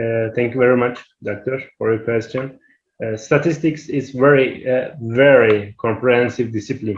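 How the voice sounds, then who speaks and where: With a Turkish accent, a man speaks at a moderate pace and medium pitch, somewhat breathy, his intonation fairly even. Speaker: academic researcher, webinar presenter. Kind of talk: Q&A answer in an online workshop. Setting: online webinar. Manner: halting, many hesitations.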